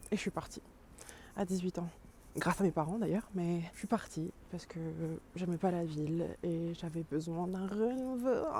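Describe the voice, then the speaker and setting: A woman mumbles at a moderate pace in a fairly low, somewhat breathy voice with a dark, mellow tone, ordinary pitch variation and long, frequent pauses. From France, Dijon (Burgundy). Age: 30s. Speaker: vlogger. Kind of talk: casual vlog talk. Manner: mumbling, poorly articulated.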